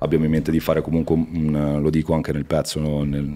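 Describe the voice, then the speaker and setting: In a very deep, low voice with a dark, mellow tone, a man talks at a very fast pace. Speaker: interview guest. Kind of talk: interview answer. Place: studio. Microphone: studio mic.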